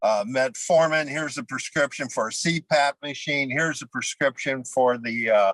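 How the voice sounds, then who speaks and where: In an ordinary speaking voice, a man with fairly high pitch talks at a moderate pace, the sound dry and close with no echo on a very clean recording with a silent background. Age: 60s. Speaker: keto dieter sharing weight loss story. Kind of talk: casual interview.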